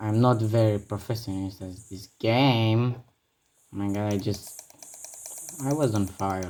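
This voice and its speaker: The speech moves at a fairly slow pace with long, frequent pauses. It is delivered in a Romanian accent. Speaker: gaming youtuber. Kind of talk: gameplay commentary. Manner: halting; animated.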